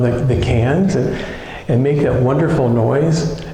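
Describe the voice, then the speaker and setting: A man speaks in an American accent with ordinary pitch variation. Room echo is audible and background noise is noticeable. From US Midwest, Ohio. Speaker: minister. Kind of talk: sermon.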